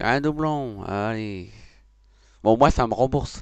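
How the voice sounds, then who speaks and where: In a dry sound with no echo and against a quiet background, a man speaks at a very slow pace. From northern France. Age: 30s. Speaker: video game streamer. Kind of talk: casual gaming commentary. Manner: jokey, upbeat. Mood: joking, mildly frustrated. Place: home room. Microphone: headset.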